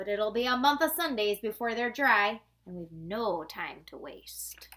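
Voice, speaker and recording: Someone speaks in a put-on character voice. The pace is moderate. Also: female-sounding voice, fairly high pitch for a woman. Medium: read story.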